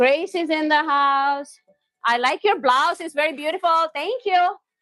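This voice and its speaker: Fairly slow and animated, a woman uses a raised, projected voice with a bright, sharp tone at a high pitch, in a dry, close sound with no echo. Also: ordinary pitch variation. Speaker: cooking livestreamer. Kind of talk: live stream chat while cooking. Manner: animated, lively.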